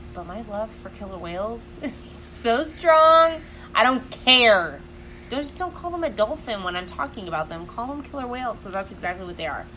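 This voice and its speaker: Loud and animated, a woman talks at a moderate pace in a fairly high pitch with very wide pitch swings over noticeable background noise. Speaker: podcast co-host. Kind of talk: casual chat.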